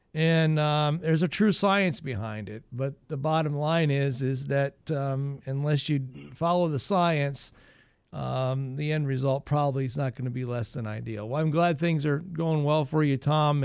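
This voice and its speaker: A man speaks at a fairly slow pace in a plain, everyday voice, his fairly high pitch moving with ordinary variation. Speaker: radio gardening show host. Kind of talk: call-in radio advice show, friendly expert talk.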